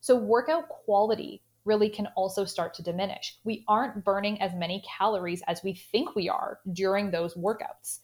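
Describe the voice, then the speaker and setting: A woman's ordinary speaking voice with a Canadian accent, medium in pitch, ordinary in pitch variation, at a moderate pace with hardly any pauses. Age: 30s. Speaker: sports dietitian. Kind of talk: interview.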